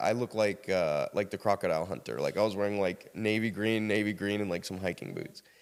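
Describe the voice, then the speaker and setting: An American-accented man talks at a fairly quick pace. His tone is animated and his pitch fairly low. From US South, South Carolina. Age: 30s. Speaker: podcast guest sharing life story. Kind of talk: casual interview storytelling.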